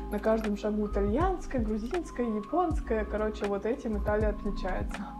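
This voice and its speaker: A woman at a moderate pace over clear music in the background. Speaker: food vlogger. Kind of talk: casual vlog chat. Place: kitchen. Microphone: lapel.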